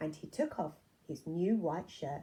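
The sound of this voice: A woman speaks at a fairly slow pace. Her voice is low-pitched, with a dark, mellow tone.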